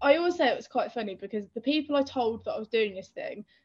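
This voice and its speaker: In an English Midlands accent, a woman speaks at a high pitch. Her pitch swings very widely. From English Midlands, Northampton. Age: young. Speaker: author and endurance runner. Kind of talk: casual chat.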